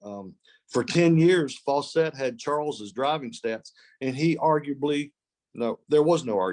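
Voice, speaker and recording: A man with a normal speaking voice talks at a medium pitch with lively intonation against a quiet background. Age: 60s. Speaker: college golf coach. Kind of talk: podcast interview. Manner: repeats words often.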